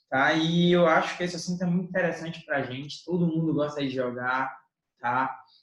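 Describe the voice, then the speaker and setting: Audible room echo surrounds a man with a fairly high pitch. He speaks at a fairly quick pace with fairly even intonation. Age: young. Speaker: teacher. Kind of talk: educational podcast discussion.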